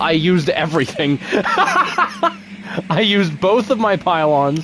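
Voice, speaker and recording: Over noticeable background noise, a man with a fairly high pitch talks in an animated tone with lively intonation. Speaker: gaming streamer. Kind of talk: live gameplay commentary. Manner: soft-spoken.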